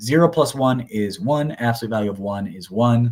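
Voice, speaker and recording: The recording is very clean, with a silent background. A man with a fairly low pitch talks at a fairly quick pace with lively intonation. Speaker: math teacher. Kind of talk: lecture. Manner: fast.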